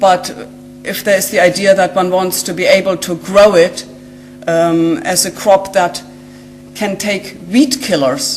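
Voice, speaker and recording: Speaking with a German accent at a medium pitch, a woman takes long, frequent pauses amid audible room echo and noticeable background noise. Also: lively intonation. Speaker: genetic scientist. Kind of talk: lecture. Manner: hesitant, many fillers.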